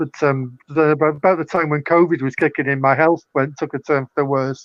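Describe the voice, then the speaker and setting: In a Manchester accent, a man with a fairly high pitch talks at a fairly quick pace in a monotone, flat intonation. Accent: northern English (Mancunian). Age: 60s. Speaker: poet and author, former cult member. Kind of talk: casual interview chat.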